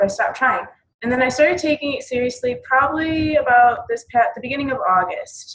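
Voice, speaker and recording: A woman with a high-pitched voice talks at a fairly quick pace, her pitch moving in an ordinary way. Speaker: fitness business coach. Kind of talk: team call presentation. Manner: fast.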